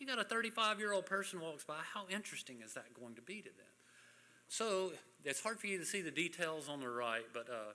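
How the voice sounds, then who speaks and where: Very fast speech comes from a man with a bright, sharp tone. His pitch swings very widely. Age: 60s. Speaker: boating safety presenter. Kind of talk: training presentation. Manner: casual, conversational.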